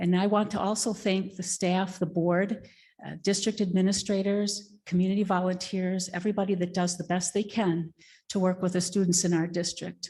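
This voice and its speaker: A woman speaks at a moderate pace in a medium pitch, her dark, mellow tone somewhat breathy and her intonation flat and monotone. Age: 60s. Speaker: public commenter at school board meeting. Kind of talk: public comment.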